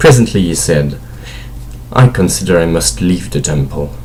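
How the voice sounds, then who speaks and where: A man with a very deep, low voice swings his pitch very widely over noticeable background noise. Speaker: amateur audiobook reader. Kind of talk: fantasy novel read aloud.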